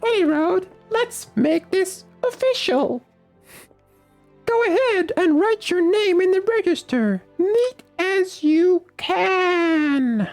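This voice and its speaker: Squeaky and extremely high-pitched, a man performs a put-on character voice at a very slow pace. Faint music plays in the background. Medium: fan dub. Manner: folksy, talkative, dryly humorous.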